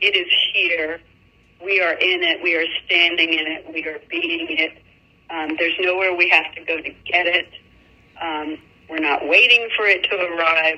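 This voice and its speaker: Against noticeable background noise, a woman speaks at a moderate pace and fairly low pitch. Her intonation is monotone and flat, with long, frequent pauses. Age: 60s. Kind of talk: interview. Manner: halting.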